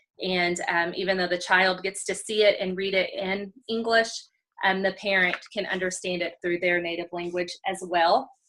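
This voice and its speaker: A woman with a Texas accent speaks at a medium pitch in a bright, sharp tone, with monotone, flat intonation at a moderate pace. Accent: Texas accent, noticeable. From Texas, College Station area. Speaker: special education teacher. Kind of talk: show-and-tell demo on video call. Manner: many filler ums.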